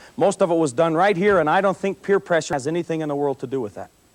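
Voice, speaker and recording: A man speaks in an animated tone at high pitch and a very fast pace. The sound is dry and close, with no echo. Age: 30s. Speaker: police officer and anti-drug speaker. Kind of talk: motivational talk to students.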